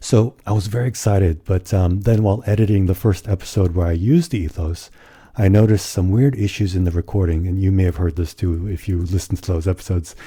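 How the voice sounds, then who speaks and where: Very deep and low, a man's somewhat breathy voice with a dark, mellow tone races along at a very fast pace with ordinary pitch variation. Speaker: podcast co-host. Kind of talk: casual podcast chat.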